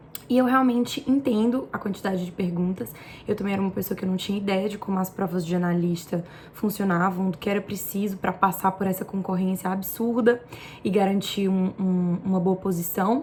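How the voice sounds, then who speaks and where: Over noticeable background noise, a woman talks at a fairly quick pace and medium pitch with ordinary pitch variation. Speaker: exam-prep tutor and vlogger. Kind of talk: casual vlog tutorial.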